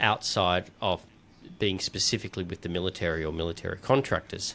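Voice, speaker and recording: A man with an Australian accent at a fairly quick pace, on a very clean recording with a silent background. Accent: quite Australian. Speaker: podcast host and founder. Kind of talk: casual chat. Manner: halting, many fillers and repeated words.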